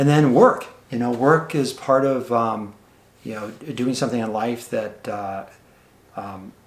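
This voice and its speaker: Fairly slow delivery with long, frequent pauses, big swings in loudness and ordinary pitch variation. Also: man, medium pitch for a man. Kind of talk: interviewer questions.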